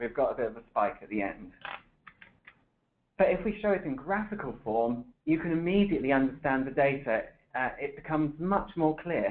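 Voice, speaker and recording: A man with a British accent speaks at a fairly quick pace in a fairly high voice, his pitch swinging very widely. He leaves long, frequent pauses. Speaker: software developer presenting a webinar. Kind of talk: webinar presentation.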